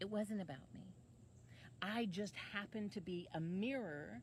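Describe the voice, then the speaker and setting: A woman's somewhat breathy voice, with lively intonation at a fairly slow pace. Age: 50s. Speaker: online life coach. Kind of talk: casual monologue to camera.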